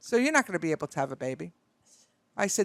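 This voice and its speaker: Bright, sharp tone with very wide pitch swings, a Brooklyn accent, and a dry, close sound with no echo. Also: woman, very clean recording, silent background. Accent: Brooklyn New York. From Brooklyn, New York. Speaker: beauty industry broker. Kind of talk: casual storytelling. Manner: animated.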